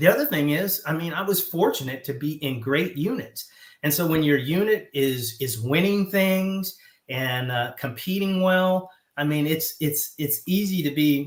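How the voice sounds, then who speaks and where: With a slight Southern US accent, a man speaks at a fairly slow pace. His pitch is fairly high, with ordinary pitch variation. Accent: slight Southern twang. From US South. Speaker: retired military officer. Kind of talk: interview. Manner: animated.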